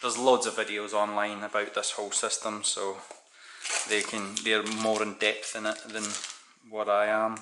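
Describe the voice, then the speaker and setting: A man with a Scottish accent speaks at a moderate pace in a fairly low pitch. His intonation is monotone and flat, with noticeable background noise behind him. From Scotland. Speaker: DIY hobbyist YouTuber. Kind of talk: unboxing video, casual; casual unboxing commentary. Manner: casual, conversational. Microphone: phone near.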